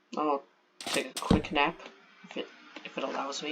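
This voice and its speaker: Noticeable background noise sits behind this man. His pitch is fairly high and his pace is moderate. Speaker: gaming video creator. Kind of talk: game walkthrough narration.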